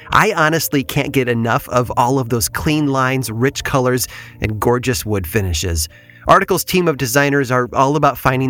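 A man's medium-pitched voice with an American accent, lively intonation and a moderate pace, music playing in the background. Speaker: podcast narrator. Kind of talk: true-crime horror narration. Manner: measured, grave, hushed, suspenseful.

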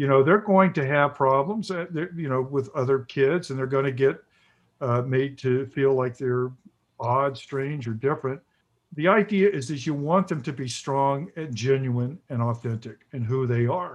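In a normal speaking voice, a man with an American accent and a fairly high pitch talks at a moderate pace with ordinary pitch variation. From US South. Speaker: author. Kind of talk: interview.

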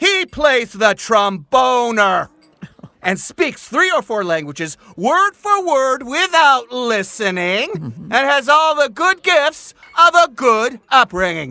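With an extremely high pitch and very wide pitch swings, a man in a raised, projected voice speaks at a very slow pace in a bright, sharp tone, the sound dry and close with no echo. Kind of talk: audio drama, Shakespeare verse. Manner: boisterous, gruff, drunken, blustering.

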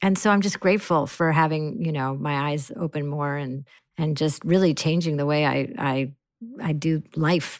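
Female speech pitched very deep and low, moderate in pace, with ordinary pitch variation. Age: 40s. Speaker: comedian and actor. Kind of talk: casual chat.

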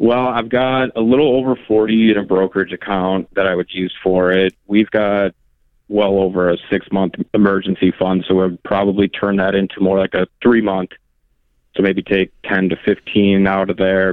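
In an unremarkable speaking voice, a man talks at a fairly low pitch and a moderate pace with fairly even intonation. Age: 30s. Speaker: caller. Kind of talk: phone call-in. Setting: phone call.

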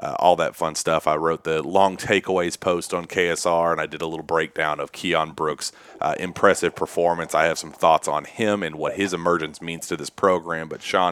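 Quiet, very deep, low male voice at a moderate pace, monotone and flat, with hardly any pauses and a dry, close sound with no echo. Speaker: sports podcast host. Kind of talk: casual chat. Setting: home office late at night.

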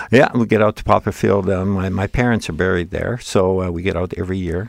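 A man with a Canadian accent speaks at a moderate pace with a very deep, low pitch. His intonation is fairly even, and the sound is dry and close with no echo. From Manitoba, Canada (rural Interlake). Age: 70s. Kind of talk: interview storytelling. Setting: studio. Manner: talkative.

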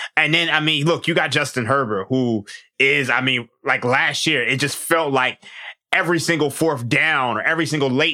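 A man's bright, sharp tone carries ordinary pitch variation at a moderate tempo. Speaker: sports betting analyst. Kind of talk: casual sports betting chat.

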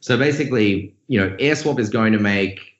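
At a moderate pace, a man with an Australian accent speaks at fairly low pitch with ordinary pitch variation. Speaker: crypto company founder. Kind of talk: interview conversation.

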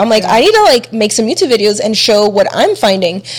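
A woman talks very fast with an American accent, her pitch fairly high and varying in an ordinary way. Noticeable background noise runs under her voice. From Chile, raised in the US. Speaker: YouTuber and mother of three. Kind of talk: casual chat.

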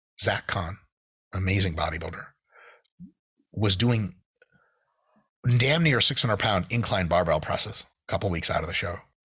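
Lively intonation runs through speech at a moderate pace on a very clean recording with a silent background. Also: man. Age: 30s. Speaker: exercise scientist and bodybuilding commentator. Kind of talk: casual chat.

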